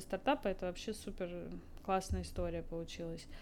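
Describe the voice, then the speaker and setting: A woman's plain, everyday voice at medium pitch, moving at a fairly quick pace. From Moscow, Russia. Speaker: startup co-founder. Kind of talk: casual interview.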